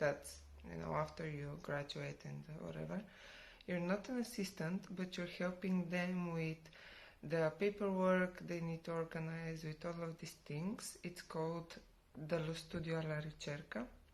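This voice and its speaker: This woman's voice is somewhat breathy and fairly low in pitch. She speaks at a fairly slow pace with fairly even intonation. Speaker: vlogger. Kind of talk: casual vlog talk. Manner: quiet.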